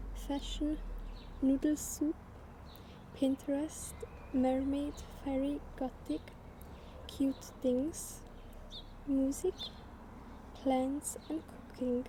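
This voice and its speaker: A soft-spoken woman with a non-native accent talks at a very slow pace and a high pitch, her intonation monotone and flat, her loudness very even, with long, frequent pauses amid noticeable background noise. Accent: non-native French speaker. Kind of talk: ASMR soft-spoken talk to camera. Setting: outdoors.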